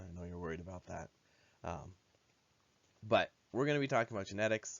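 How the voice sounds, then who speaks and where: This man talks at a very fast pace. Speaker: high school biology teacher. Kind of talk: recorded lesson for students. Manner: hesitant, many filler uhs.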